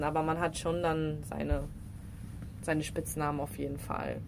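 A woman talks with a very deep, low pitch. Vocal fry runs through her voice. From Rhineland, Düren (western Germany). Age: 20s. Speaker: professional football player. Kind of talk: casual interview.

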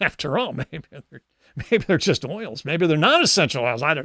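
A man's fairly high, bright and sharp voice with big pitch swings at a fairly slow pace, on a very clean recording with a silent background.

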